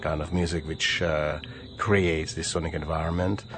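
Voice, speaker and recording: With music playing behind him, a man with a Czech accent speaks at a very deep, low pitch. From Bohemia, Czech Republic. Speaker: retired radio presenter and music producer. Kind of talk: radio interview. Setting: radio studio. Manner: frequent hesitations.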